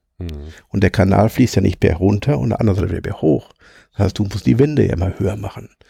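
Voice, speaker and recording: Moving at a moderate pace, a man speaks at a fairly low pitch in a dark, mellow tone, with very wide pitch swings and vocal fry. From Ruhr area, Hamm (Westphalia). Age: 50s. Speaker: former coal miner, now train driver. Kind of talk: casual interview.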